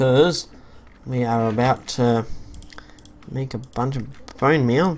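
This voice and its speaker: Someone with an Australian accent talks at a very slow pace, with long, frequent pauses. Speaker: gaming YouTuber. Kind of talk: let's play commentary. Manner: hesitant, many fillers.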